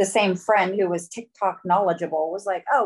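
With a plain, everyday voice of medium pitch, a woman speaks at a moderate pace and fairly even intonation. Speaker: podcast host interviewer. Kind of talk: recap and interview show, casual chat with ad read.

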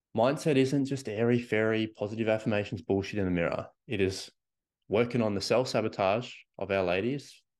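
Someone with an Australian accent speaks at a fairly quick pace, with ordinary pitch variation. The background is quiet. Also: man. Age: 30s. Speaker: fitness coach. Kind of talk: solo podcast monologue. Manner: animated.

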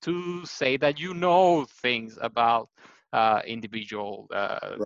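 Lively in intonation, a man with a fairly high voice speaks at a very slow pace. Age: 30s. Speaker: psychologist and channel host. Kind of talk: interview. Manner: halting.

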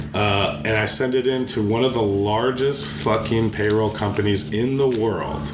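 A man with an American accent at a fairly low pitch, ordinary pitch variation, and very even loudness, with audible room echo and noticeable background noise. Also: moderate pace. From Chicago, later Memphis from 16. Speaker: chef and restaurant owner. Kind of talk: casual interview chat.

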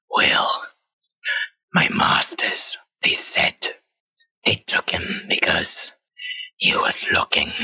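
At a very slow pace, a put-on character voice comes through raspy and hissing. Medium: actual play. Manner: hissing, curt.

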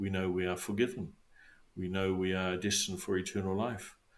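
A man with a New Zealand accent speaks at a very deep, low pitch in a monotone, flat delivery. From New Zealand, South Island. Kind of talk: interview.

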